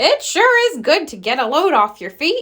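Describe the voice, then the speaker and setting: A woman puts on a loud character voice, extremely high in pitch. It swings very widely at a moderate pace. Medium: read story. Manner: jolly, strong way of saying things, folksy.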